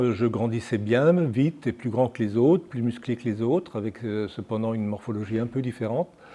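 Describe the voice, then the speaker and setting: A man is speaking. His tone is dark and mellow. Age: 70s. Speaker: patient association president. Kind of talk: personal testimony. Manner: hesitant, frequent filler sounds.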